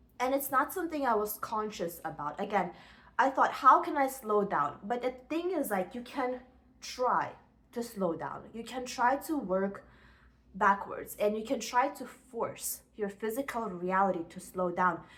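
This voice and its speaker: With noticeable background noise behind her, a woman speaks fairly slowly in an animated tone, her pitch swinging very widely. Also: fairly high pitch for a woman. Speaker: self-help vlogger. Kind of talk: motivational talk to camera.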